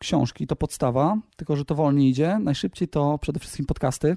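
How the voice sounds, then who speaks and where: Dry and close with no echo, a man's dark, mellow voice moves at a fairly quick pace. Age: 30s. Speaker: salesman and small business owner. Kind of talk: interview.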